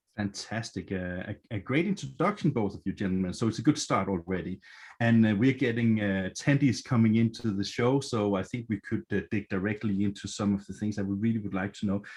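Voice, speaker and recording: The speaker has a Danish accent and talks at a fairly quick pace. There are hardly any pauses. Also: man, fairly low pitch for a man, ordinary pitch variation. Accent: Danish accent, noticeable. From Denmark. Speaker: event moderator. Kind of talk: virtual event moderation. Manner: hesitant, many fillers.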